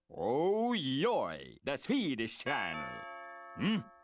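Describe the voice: A man uses a cartoonish character voice pitched fairly high. He speaks very slowly.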